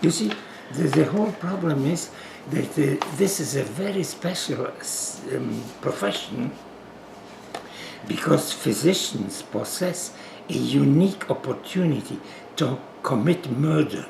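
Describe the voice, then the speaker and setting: Speaking with a Polish accent, a man uses a fairly high pitch and lively intonation at a fairly slow pace, with long, frequent pauses. Audible room echo and noticeable background noise are present. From Poland. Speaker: physician. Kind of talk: interview. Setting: at home.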